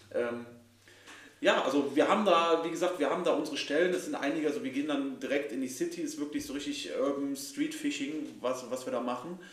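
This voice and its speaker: Speech at a very fast pace with ordinary pitch variation comes through audible room echo and noticeable background noise. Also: man, fairly high pitch for a man. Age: 30s. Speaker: podcast host, angler. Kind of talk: casual chat. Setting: club house.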